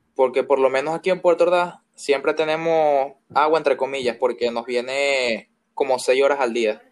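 In an unremarkable speaking voice, a man talks at a moderate pace, his pitch fairly high and his intonation fairly even. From Venezuela. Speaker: guest. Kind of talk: casual chat.

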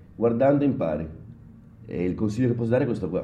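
A man is speaking. Room echo can be heard. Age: 40s. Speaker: bartender. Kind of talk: casual interview.

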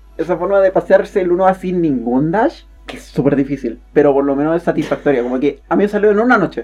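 In a Chilean accent, the speaker races along at a very fast pace with lively intonation and hardly any pauses. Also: woman, fairly low pitch for a woman. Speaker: podcast co-host. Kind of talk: casual chat.

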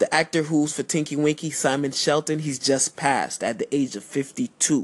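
Speaking at a moderate pace with an American accent, a man with an unremarkable speaking voice at fairly high pitch sounds dry and close, with no echo. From Miami, Florida. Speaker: podcast host and music artist. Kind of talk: casual radio-style monologue. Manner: laid-back, casual.

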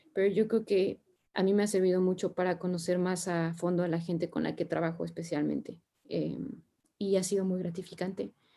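This woman talks at a fairly quick pace in a dark, mellow tone. Her pitch is fairly low and her intonation monotone and flat. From Mexico. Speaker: sustainability consultant. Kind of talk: interview conversation.

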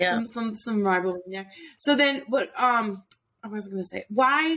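A woman at a fairly slow pace, medium pitch and energetic tone. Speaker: podcast host, confidence coach. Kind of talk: casual interview.

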